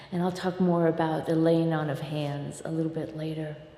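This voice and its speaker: A woman with a fairly low pitch talks in a room with audible echo. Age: 60s. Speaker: minister. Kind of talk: sermon. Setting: church.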